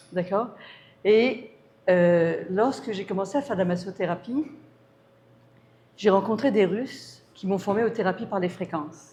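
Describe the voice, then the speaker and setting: At a fairly slow pace with long, frequent pauses, a woman speaks in a somewhat breathy medium pitch amid audible room echo. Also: ordinary pitch variation. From France. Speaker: natural health consultant and palmistry speaker. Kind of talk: conference talk. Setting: talk with small live audience.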